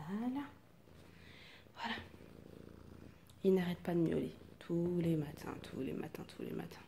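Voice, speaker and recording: In a room with audible echo, a woman speaks at a fairly slow pace with long, frequent pauses. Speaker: vlogger, young mother. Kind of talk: casual vlog. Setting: small apartment at home. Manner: soft-spoken, speaking quietly.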